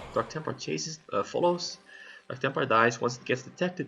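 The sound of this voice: Doing a put-on character voice, a man sounds hoarse at a medium pitch and a fairly quick pace.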